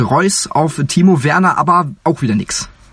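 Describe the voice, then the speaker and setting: Somewhat breathy speech with ordinary pitch variation over a quiet background. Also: man. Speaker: sports podcast host. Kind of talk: casual chat. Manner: animated.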